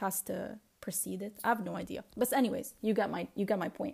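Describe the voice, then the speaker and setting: A woman's voice with vocal fry, a very fast pace and ordinary pitch variation. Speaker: podcast host. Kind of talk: solo personal podcast monologue, audio diary. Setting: alone at home. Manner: reflective, casual, rambling.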